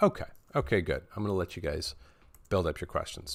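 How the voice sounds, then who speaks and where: In a very clean recording with a silent background, a man speaks in an animated tone with very wide pitch swings. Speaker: colorist teaching a live Q&A. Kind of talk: live stream tutorial Q&A. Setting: live stream. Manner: casual, animated; fast.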